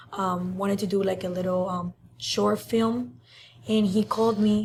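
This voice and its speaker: A woman speaks with a Cuban accent and fairly even intonation. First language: Spanish. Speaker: social media influencer. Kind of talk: interview. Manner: hesitant, many fillers.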